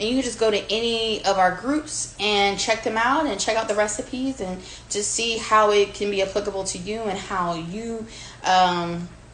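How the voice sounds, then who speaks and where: A woman with an American accent at a medium pitch and moderate pace, ordinary pitch variation, audible room echo and noticeable background noise. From Virginia Beach, US. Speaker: home cook, food creator. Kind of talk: cooking demonstration. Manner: casual, chatty with fillers.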